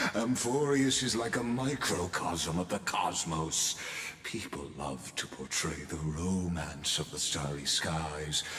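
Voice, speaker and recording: Using a put-on character voice with a very deep, low pitch, a man speaks at a fairly slow pace amid clear echo and clear background noise. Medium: game stream. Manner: measured, lofty, poetic.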